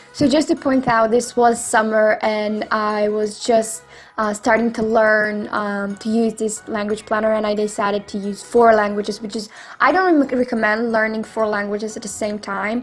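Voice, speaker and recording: The speaker keeps a fairly even intonation while music plays in the background. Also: woman, fairly high pitch for a woman, moderate pace. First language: not English. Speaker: YouTuber. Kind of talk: tutorial. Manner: halting.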